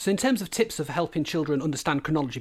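On a very clean recording with a silent background, a man speaks in a Yorkshire accent. His intonation is lively. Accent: Hull, Yorkshire. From Hull, northern England. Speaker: primary teacher and history specialist. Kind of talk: interview conversation.

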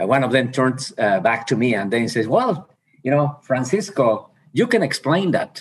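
Slowly paced, a man with a Mexican accent speaks at a medium pitch, his voice making very wide pitch swings. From Mexico. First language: Spanish. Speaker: university president. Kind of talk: interview conversation. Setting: video call.

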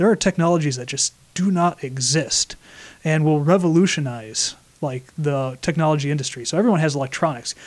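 An unremarkable speaking voice from a man, fairly high in pitch, at a fairly quick pace with ordinary pitch variation. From Flint, Michigan. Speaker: engineer and science expo organizer. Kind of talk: casual radio interview.

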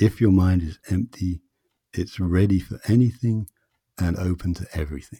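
In a dry, close sound with no echo, a man with a very deep, low pitch and a dark, mellow tone speaks at a moderate pace, somewhat breathy, with fairly even intonation. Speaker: Chinese medicine practitioner and author. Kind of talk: interview conversation. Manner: hypnotic, entrancing pace.

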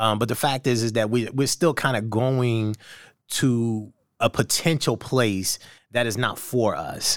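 Recorded very cleanly against a silent background, a man speaks in a normal speaking voice at medium pitch and a fairly slow pace. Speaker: podcast host. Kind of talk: casual interview chat. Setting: live streamed podcast. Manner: joking, playful.

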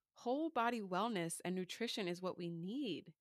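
With an American accent and a plain, everyday voice, a woman speaks at medium pitch and a moderate pace, her intonation lively and the sound dry and close with no echo. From US Northeast, Philadelphia suburbs. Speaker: podcast host, dietitian. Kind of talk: reading aloud a personal essay.

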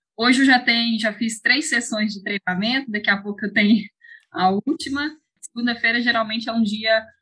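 A woman talks at a moderate pace. Her tone is bright and sharp, with ordinary pitch variation. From Brazil, Ceará interior, raised in Belo Horizonte from age 8. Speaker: professional mountain bike racer. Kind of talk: interview.

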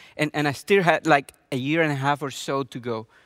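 At a moderate pace, a man with a fairly high pitch talks in fairly even intonation, the sound dry and close with no echo on a very clean recording over a silent background. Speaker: pastor. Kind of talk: sermon.

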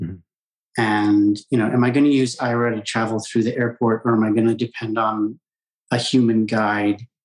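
At a moderate pace, a man with an American accent speaks in a plain, everyday voice, medium in pitch, with fairly even intonation. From Colorado, US. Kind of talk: interview.

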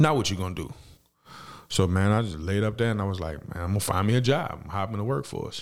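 Talking at a very fast pace, a man with an American accent uses lively intonation. His pitch sits fairly low. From New Orleans, Louisiana (uptown). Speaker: former street hustler turned medical worker. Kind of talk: casual interview, life story.

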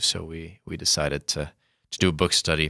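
A man with an Upper Midwest accent speaks in a very deep, low pitch and a monotone, flat intonation, his tone bright and sharp. The recording is very clean, with a silent background. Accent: Upper Midwest American. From US Midwest, Sioux Falls, South Dakota. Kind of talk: casual explanatory discussion.

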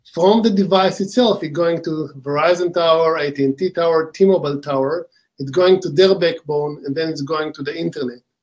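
A man with an Israeli accent, high-pitched for a man, with ordinary pitch variation, a moderate pace and hardly any pauses. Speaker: company co-founder and executive. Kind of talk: interview.

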